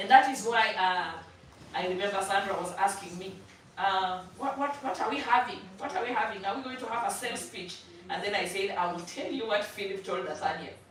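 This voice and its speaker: In a room with audible echo and noticeable background noise, a woman speaks at a fairly quick pace in an animated tone, medium in pitch with ordinary pitch variation. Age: 60s. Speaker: church member sharing testimony at finance seminar. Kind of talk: testimony.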